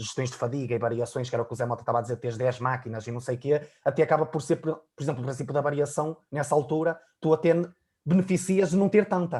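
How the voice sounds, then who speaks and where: A man with a European Portuguese accent, fairly high in pitch with ordinary pitch variation, somewhat breathy and very fast, on a very clean recording with a silent background. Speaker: fitness coach. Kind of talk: casual chat.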